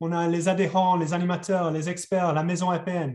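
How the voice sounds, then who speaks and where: The voice has a dark, mellow tone and a slight English accent. It moves at a fairly slow pace. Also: man. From England. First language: English (speaking French). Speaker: webinar facilitator. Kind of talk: webinar introduction. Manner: hesitant, many repetitions.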